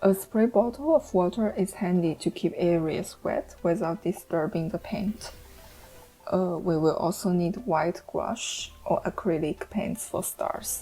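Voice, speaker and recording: Over music in the background, a woman speaks at a fairly slow pace and medium pitch, with ordinary pitch variation. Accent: non-native. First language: not English. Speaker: art tutorial creator. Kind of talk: tutorial. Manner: some hesitations and fillers.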